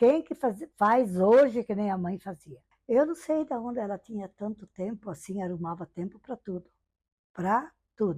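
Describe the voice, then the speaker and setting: Speaking fairly slowly, a woman with a somewhat breathy, dark and mellow voice stays medium in pitch yet makes very wide pitch swings. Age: 70s. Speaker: interviewee sharing life memories. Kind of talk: oral history testimony. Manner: conversational, frequent fillers.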